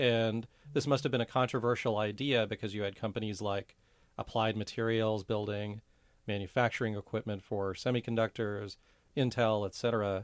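With an American accent, an ordinary speaking voice moves at a moderate pace with fairly even intonation. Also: man, fairly low pitch for a man. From Silicon Valley, California. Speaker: writer and entrepreneur, podcast co-host. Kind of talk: casual interview chat. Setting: studio.

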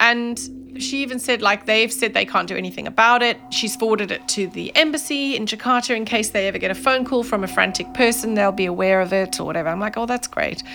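Very fast, nearly pauseless speech from a woman, fairly high in pitch with ordinary pitch variation, amid noticeable background noise. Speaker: scam victim, makeup artist. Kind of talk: interview recollection.

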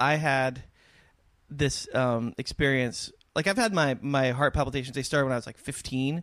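At a moderate pace, a man with an American accent speaks in an unremarkable speaking voice at a fairly high pitch with ordinary pitch variation. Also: very clean recording, silent background. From US West Coast, San Diego. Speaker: musician. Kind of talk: casual chat.

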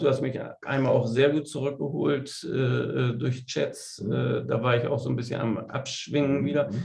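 Over noticeable background noise and audible room echo, a man talks with monotone, flat intonation. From Bremen, northern Germany. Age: 50s. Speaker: veterinarian and amateur golfer. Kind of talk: interview. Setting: studio.

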